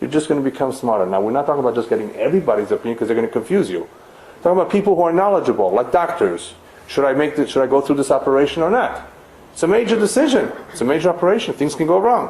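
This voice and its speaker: Over noticeable background noise, a man with a non-native accent talks at a very fast pace with very wide pitch swings. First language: not English. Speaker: rabbi teaching a lecture series. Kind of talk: lecture.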